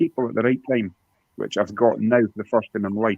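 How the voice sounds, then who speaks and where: In a Scottish accent, a man speaks at medium pitch with monotone, flat intonation. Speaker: YouTube guest on a mental health talk. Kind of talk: emotional personal testimony. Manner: halting.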